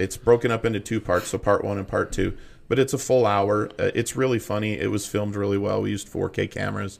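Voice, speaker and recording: Here a man speaks at a fairly low pitch, with vocal fry. His intonation stays fairly even, and his pace is fairly quick. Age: 40s. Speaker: stand-up comedian. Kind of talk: storytelling. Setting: studio.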